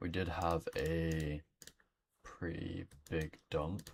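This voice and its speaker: A man is speaking. His intonation is fairly even. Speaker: trading streamer. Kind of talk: live trading commentary. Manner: casual, halting with fillers.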